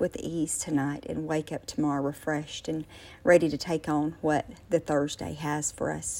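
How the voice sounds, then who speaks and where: A woman speaks in a very deep, low voice with a gentle, dark and mellow tone. The recording is very clean, with a silent background. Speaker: prayer leader. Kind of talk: fervent prayer, spoken aloud to God in a hushed late-night devotional tone. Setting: voice message recorded late at night. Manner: earnest, heartfelt, fervent; gentle, unhurried, with filler ums.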